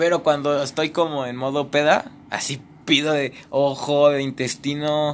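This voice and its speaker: This man speaks at a fairly slow pace with a fairly high pitch and monotone, flat intonation. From Mexico City. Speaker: actor and playwright. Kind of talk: casual chat.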